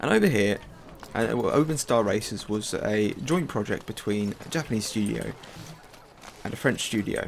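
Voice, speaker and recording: With an English accent, a man of fairly low pitch talks at a moderate pace with ordinary pitch variation and long, frequent pauses, against noticeable background noise. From southern England, an hour outside London. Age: 20s. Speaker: video game streamer. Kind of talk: casual chat over gameplay. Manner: halting, many fillers and restarts.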